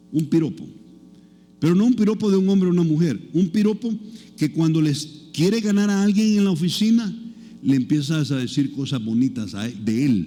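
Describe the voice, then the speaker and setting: This man has a high pitch and a dark, mellow tone, with very wide pitch swings. He talks at a moderate pace, and audible room echo surrounds him. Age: 60s. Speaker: pastor. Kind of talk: sermon. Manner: conversational, engaging the audience.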